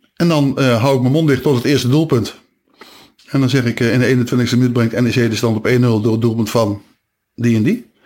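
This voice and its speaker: A man speaks at a moderate pace in a medium pitch, with long, frequent pauses. The recording is very clean, with a silent background. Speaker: radio DJ and stadium announcer. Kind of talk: casual interview. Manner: animated.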